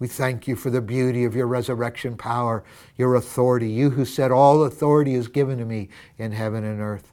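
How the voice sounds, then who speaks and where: A man with an American accent speaks at a fairly quick pace, at medium pitch, in a dark, mellow and warm tone. His intonation stays fairly even. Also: very clean recording, silent background. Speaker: pastor. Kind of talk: fervent prayer, led aloud with a devotional tone, speaking to God; devotional sermon-style address with scripture reading. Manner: earnest, heartfelt, warm and reverent; rising intensity, emphatic repetition.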